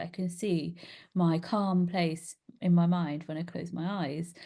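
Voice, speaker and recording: A woman speaks at a fairly low pitch, somewhat breathy. Her tone is dark and mellow. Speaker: meditation guide. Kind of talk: guided meditation. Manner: soft-spoken.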